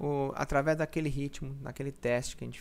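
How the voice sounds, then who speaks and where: A man speaks at a moderate pace. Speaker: personal trainer. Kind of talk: tutorial. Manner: halting.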